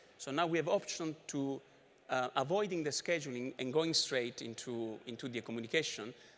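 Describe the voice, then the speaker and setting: Words come very fast from a man. The rise and fall of his pitch is ordinary. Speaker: conference presenter. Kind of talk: technical conference talk. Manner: rushed, barely pausing for breath.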